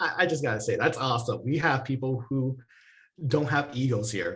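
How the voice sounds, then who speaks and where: Animated and fairly quick, a man with a non-native accent talks at a medium pitch with ordinary pitch variation. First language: not English. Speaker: workshop facilitator. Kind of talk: online workshop presentation.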